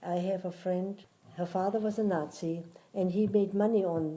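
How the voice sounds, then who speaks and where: A woman's fairly low voice with a Swabian accent and fairly even intonation. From southern Germany, Göppingen near Stuttgart. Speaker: war witness. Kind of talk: oral history interview.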